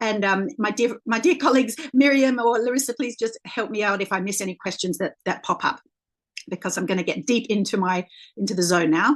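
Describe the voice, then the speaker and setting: Over a quiet background, someone with an Australian accent talks at a fairly quick pace with lively intonation. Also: woman, fairly high pitch for a woman. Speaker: leadership coach. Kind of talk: presentation. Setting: video call. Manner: halting, many fillers.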